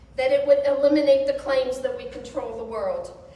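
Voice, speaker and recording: A woman talks at a moderate pace. Noticeable background noise and audible room echo are present. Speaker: service leader and Holocaust educator. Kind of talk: speech at a religious service. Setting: synagogue service with audience and mic. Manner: loud.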